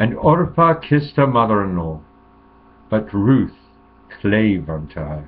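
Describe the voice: This man talks slowly at a fairly low pitch, with big swings up and down.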